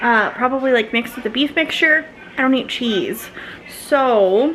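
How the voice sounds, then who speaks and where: Against noticeable background noise, a woman with a high voice talks at a moderate pace, with ordinary pitch variation and very even loudness. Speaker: family vlogger. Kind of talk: casual vlog talk.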